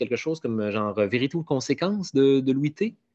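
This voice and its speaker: The speaker has a Quebec accent. The intonation is lively. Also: man. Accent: Québécois French. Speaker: comedian and podcaster. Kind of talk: casual interview.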